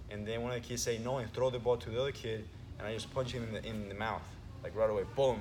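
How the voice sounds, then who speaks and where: The man speaks at medium pitch and a very fast pace. His intonation is fairly even. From Venezuela. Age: 20s. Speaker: jiu-jitsu instructor. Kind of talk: casual chat.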